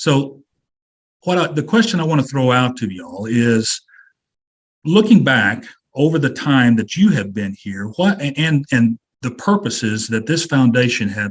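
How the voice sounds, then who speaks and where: Speaking at a fairly slow pace with an American accent, a man uses a medium pitch and very wide pitch swings. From Kansas. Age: 60s. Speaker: webinar moderator. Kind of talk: panel discussion.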